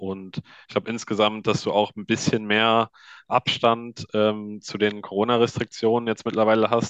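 This man talks at a moderate pace with a fairly low pitch and a monotone, flat intonation, his sound dry and close with no echo against a quiet background. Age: 20s. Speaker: ice hockey journalist. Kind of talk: casual chat.

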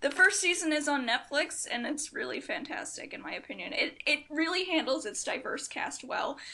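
Noticeable background noise sits behind a woman's voice. She has a high pitch and talks at a moderate pace. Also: ordinary pitch variation. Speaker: podcast guest. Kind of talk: casual chat. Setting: recording in a dorm room.

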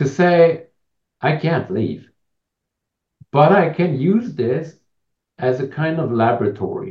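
A man's somewhat breathy voice. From Switzerland. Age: 40s. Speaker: author and coach. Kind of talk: interview, personal story.

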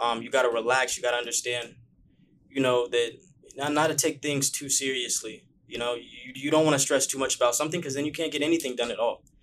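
A man with an American accent talks at a very fast pace. His medium pitch follows a fairly even intonation. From Bakersfield, California. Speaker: YouTuber. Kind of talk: casual chat.

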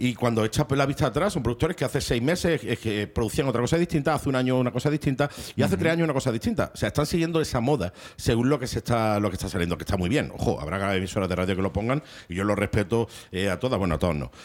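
Speaking very fast, a man lets his pitch swing very widely. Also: medium pitch for a man. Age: 40s. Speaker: radio presenter. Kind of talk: casual radio chat.

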